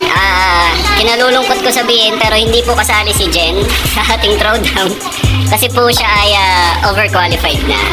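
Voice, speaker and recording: Clear music plays in the background. Over it, a man speaks at a fairly slow pace. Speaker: barista vlogger. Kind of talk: casual vlog chat. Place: cafe. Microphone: phone near.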